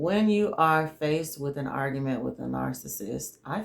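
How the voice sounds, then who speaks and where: Words come at a fairly slow pace with a Southern US accent. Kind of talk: faith-based advice monologue. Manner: trouble pronouncing 'argue'.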